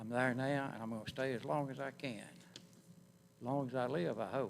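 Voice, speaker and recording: A moderate pace in a North Carolina accent, with ordinary pitch variation. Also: man, medium pitch for a man. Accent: US Southern (North Carolina). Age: 80s+. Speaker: public commenter, retired Navy veteran. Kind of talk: public comment at planning board hearing.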